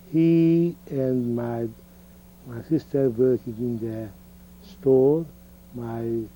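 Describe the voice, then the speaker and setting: A man with a medium pitch and a dark, mellow tone speaks at a very slow pace, leaving long, frequent pauses. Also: ordinary pitch variation. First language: Hungarian. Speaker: Holocaust survivor. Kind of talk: oral history interview. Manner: halting.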